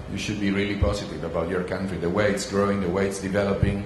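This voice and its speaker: The speech comes at a very fast pace. Room echo is audible, and the background noise is noticeable. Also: man. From Italy. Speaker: business angel investor, panelist. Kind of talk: panel discussion Q&A. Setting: conference stage with audience.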